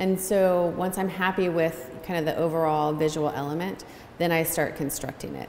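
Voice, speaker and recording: Speaking at a fairly low pitch with ordinary pitch variation, a woman keeps a moderate pace. Audible room echo and light background noise are present. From Cincinnati, Ohio; Ohio. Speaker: textile artist. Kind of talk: gallery talk interview. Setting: standing in gallery in front of artworks. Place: hall. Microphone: camera far.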